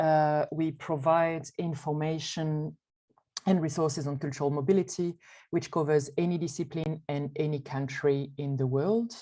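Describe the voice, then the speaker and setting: A woman with a French accent talks at a moderate pace, her very deep, low pitch holding fairly even intonation. Her tone is dark and mellow, and the background is quiet. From France. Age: 30s. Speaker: arts network board president. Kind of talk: panel presentation.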